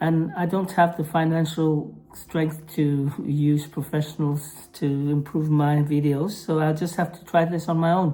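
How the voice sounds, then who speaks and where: A woman's very deep, low voice with a dark, mellow tone, monotone and flat, in a non-native accent at a fairly slow pace. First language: Norwegian. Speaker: mental health vlogger. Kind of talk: vlog monologue; reading aloud. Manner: halting, with pauses; apologetic.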